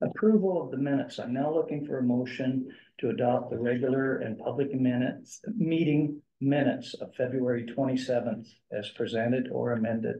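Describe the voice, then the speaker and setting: This man speaks at a fairly quick pace. His pitch varies in an ordinary way. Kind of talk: formal meeting procedure. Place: meeting room.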